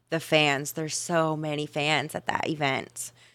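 At a fairly slow pace, a bright, sharp tone comes through on a very clean recording with a silent background. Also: woman. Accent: American. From Ohio, US Midwest. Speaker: adult film performer and dancer. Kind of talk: casual interview chat.

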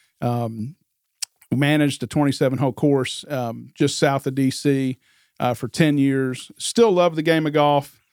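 A man with an ordinary speaking voice and an American accent, fairly high-pitched with ordinary pitch variation, at a fairly slow pace in a dry, close sound with no echo. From Northern Virginia, US. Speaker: real estate agent. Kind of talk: casual interview.

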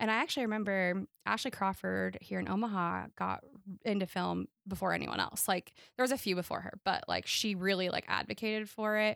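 On a very clean recording with a silent background, a woman talks at a fairly quick pace in a dry, close sound with no echo. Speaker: wedding photographer. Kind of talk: casual interview. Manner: loud.

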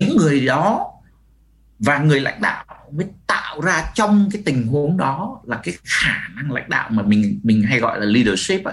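A man with vocal fry and a fairly high pitch talks at a fairly slow pace, his pitch swinging very widely. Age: 50s. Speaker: business coach and author. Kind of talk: webinar talk. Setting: webinar video call.

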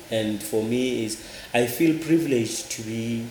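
The pitch varies in an ordinary way. Background noise is noticeable. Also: man. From South Africa. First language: a Southern African language, not English. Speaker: church minister and NGO worker. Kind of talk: interview. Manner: halting, with frequent repetitions.

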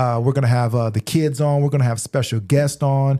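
Pitched fairly high, a man speaks at a fairly quick pace with fairly even intonation. His voice is somewhat breathy, with a dark, mellow tone. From military bases, Louisiana, Germany, Austin. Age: 40s. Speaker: podcast host, business owner. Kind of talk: casual chat.

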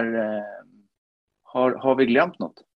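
The speaker is a man. He talks with a Finnish accent. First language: Finnish (speaking Swedish). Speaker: podcast co-host, amateur cross-country skier. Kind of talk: casual chat.

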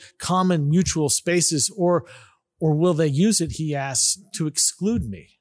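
A normal speaking voice with an American accent talks at a fairly slow pace on a very clean recording with a silent background. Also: man. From California Bay Area. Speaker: pastor. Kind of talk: sermon.

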